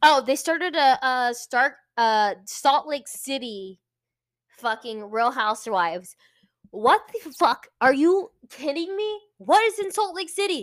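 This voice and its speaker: A high-pitched woman with an American accent, her pitch swinging very widely at a fairly slow pace. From US, Virginia Beach, Virginia. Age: 20s. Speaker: podcast co-host. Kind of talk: casual chat. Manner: animated.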